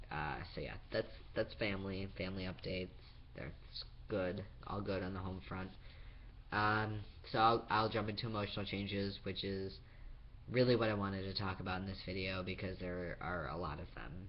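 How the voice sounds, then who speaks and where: A man's fairly low voice with fairly even intonation, a moderate pace, long and frequent pauses, and audible room echo. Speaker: vlogger. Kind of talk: personal video diary. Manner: halting.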